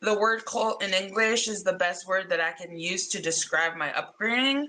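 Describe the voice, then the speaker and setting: A woman with a Spanish accent speaks at a moderate pace, her medium pitch showing ordinary variation. Noticeable background noise runs underneath. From Mexico. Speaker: comedian. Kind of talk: casual chat.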